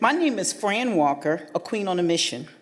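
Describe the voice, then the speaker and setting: A woman speaks with a fairly low pitch. Her pace is moderate. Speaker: nonprofit founder. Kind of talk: public comment speech. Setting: county board meeting.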